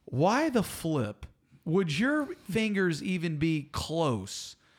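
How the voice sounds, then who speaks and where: A man with a Southern US accent speaks at a high pitch with very wide pitch swings. The recording is very clean, the background silent. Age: 30s. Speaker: arborist and podcast co-host. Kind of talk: casual chat. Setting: studio. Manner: animated.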